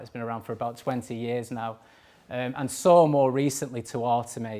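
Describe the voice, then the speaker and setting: A man with a Manchester accent speaks at a fairly quick pace and a medium pitch. His intonation is fairly even, on a very clean recording with a silent background. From northern England, Manchester. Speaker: cyber security engineering manager. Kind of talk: conference talk. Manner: hesitant, many fillers.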